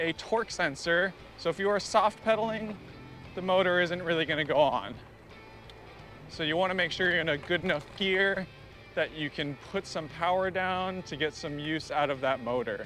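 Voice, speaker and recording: Faint music plays in the background as a man with a high pitch and ordinary pitch variation speaks at a moderate pace, in a dry sound with no echo. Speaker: bike reviewer. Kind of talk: ride-along product review. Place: bicycle. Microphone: phone near.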